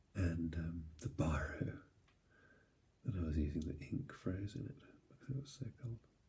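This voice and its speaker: The voice is soft-spoken. Long, frequent pauses break up the speech. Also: moderate pace. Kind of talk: sleep-inducing travel talk. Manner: soft-spoken, rambling.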